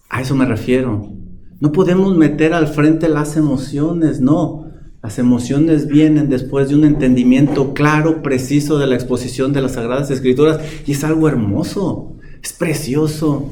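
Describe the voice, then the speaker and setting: A man talks at a moderate pace and a fairly high pitch with fairly even intonation. Room echo is audible, along with noticeable background noise. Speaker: pastor. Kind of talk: sermon. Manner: calm, not shouting.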